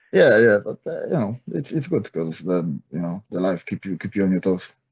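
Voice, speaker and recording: A man with a Polish accent, very deep and low in pitch, with ordinary pitch variation at a moderate pace. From Poland, small town. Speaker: MMA fighter and coach. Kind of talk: interview. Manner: halting, many fillers and repetitions.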